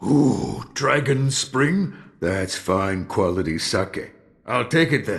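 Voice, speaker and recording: A man speaks in a put-on character voice at a medium pitch. He talks very slowly, with very wide swings in pitch. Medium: video game. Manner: slow, reflective.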